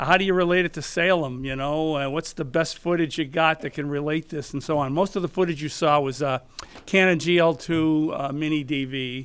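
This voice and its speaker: Noticeable background noise runs under a man talking at a fairly quick pace. His pitch is fairly high and his intonation fairly even. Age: 70s. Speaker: amateur filmmaker, award winner. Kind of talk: acceptance speech. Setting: studio with audience. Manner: halting.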